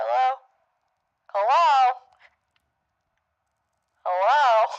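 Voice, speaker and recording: In a put-on character voice, a female-sounding speaker uses a fairly high pitch. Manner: impression.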